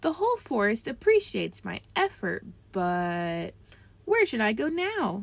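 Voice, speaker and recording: Putting on a character voice, a woman speaks at a moderate pace. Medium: read story.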